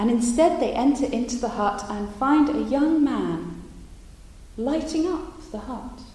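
Over noticeable background noise, a woman with a high pitch speaks at a fairly slow pace, her tone animated and dramatic and her intonation lively. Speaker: storyteller and artist. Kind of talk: storytelling performance of an old tale. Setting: live performance to an in-person audience. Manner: animated, dramatic, with character voices and rhythmic repetition.

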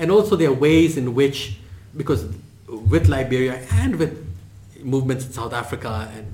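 Against noticeable background noise, a man talks at a moderate pace with lively intonation. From Indian heritage. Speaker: history professor. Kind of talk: lecture. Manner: unscripted, hesitant fillers.

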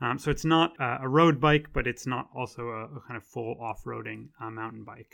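With an American accent and an unremarkable speaking voice, a man talks at a medium pitch and moderate pace, with fairly even intonation, big swings in loudness and hardly any pauses. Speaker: lecturer and podcast host. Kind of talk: scripted-style informative talk. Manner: informal, conversational with fillers.

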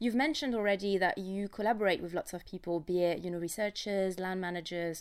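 A woman at a very fast pace with fairly even intonation, on a very clean recording with a silent background. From France. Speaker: podcast co-host, science journalist. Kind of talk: casual chat.

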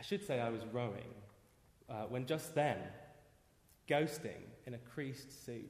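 Somewhat breathy, a man with a British accent speaks at a medium pitch and fairly slow pace, leaving long, frequent pauses. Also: ordinary pitch variation. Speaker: poet. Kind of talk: reading aloud his own poem. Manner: dramatic, incantatory repetition; halting, self-interrupting confessional pauses.

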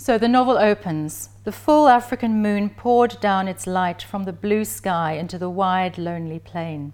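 On a very clean recording with a silent background, a woman in a normal speaking voice talks with lively intonation at a medium pitch, with hardly any pauses. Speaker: professor giving a talk. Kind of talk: lecture with passages read aloud from a novel, literary reading. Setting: lecture presentation. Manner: measured, slow and evocative when reading the passage aloud; formal, scholarly.

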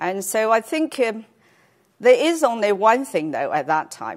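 The speaker has a Chinese accent and very wide pitch swings. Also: woman. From China. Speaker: cancer researcher. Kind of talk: lecture. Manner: halting, many fillers.

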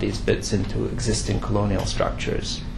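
Noticeable background noise and audible room echo accompany a man talking at a moderate pace. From Quebec, Canada. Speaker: professor. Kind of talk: lecture. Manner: halting, with many fillers.

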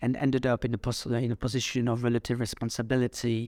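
A man's medium-pitched voice with a French accent and monotone, flat intonation. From France. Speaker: executive coach and psychotherapist. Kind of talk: podcast interview. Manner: halting, many fillers.

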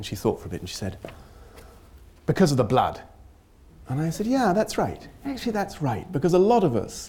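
Somewhat breathy and dark, mellow in tone, a man speaks with very wide pitch swings. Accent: British. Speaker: humanitarian researcher and lecturer. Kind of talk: academic lecture. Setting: lecture hall with audience.

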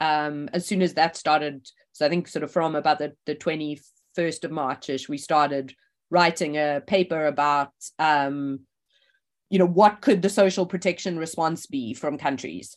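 A woman speaks with a very deep, low pitch and fairly even intonation. Her pace is moderate, and the background is quiet. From South Africa. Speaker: economics professor. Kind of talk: oral history interview.

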